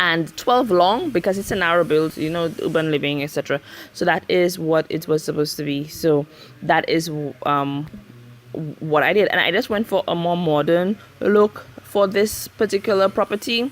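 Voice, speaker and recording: A woman with a Saint Lucian accent, fairly low in pitch, at a moderate pace and with ordinary pitch variation. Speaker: Sims builder and YouTuber. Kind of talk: casual narration over speed build. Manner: hesitant, many fillers.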